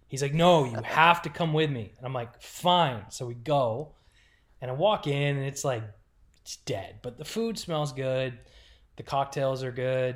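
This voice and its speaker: Somewhat breathy and at a medium pitch, a man speaks at a moderate pace with lively intonation. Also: very clean recording, silent background. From Rochester, New York, later Oklahoma City. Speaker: hockey team content manager. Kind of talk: casual chat.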